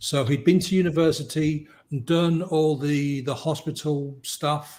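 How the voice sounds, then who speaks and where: A man talks in a somewhat breathy voice with an English accent. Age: 60s. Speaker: hypnotist. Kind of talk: podcast interview.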